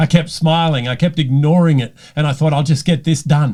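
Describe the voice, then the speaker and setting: In an Australian accent, a man speaks at a moderate pace with a fairly high pitch and a somewhat breathy voice. The recording is very clean, with a silent background. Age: 60s. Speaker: leadership coach. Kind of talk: personal talk to camera.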